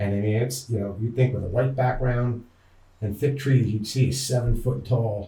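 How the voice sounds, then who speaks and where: With a Pennsylvania accent, a man speaks in a dark, mellow tone at a medium pitch, somewhat breathy. His intonation is fairly even, and audible room echo surrounds him. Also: moderate pace. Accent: Pennsylvania American English. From northeast Pennsylvania. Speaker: outdoorsman, hunter and angler. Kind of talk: interview storytelling. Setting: podcast recording.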